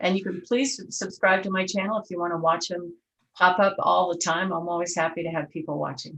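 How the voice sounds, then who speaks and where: At a fairly quick pace, a woman talks in an ordinary speaking voice with a fairly low pitch and fairly even intonation. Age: 60s. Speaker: real estate agent. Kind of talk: interview.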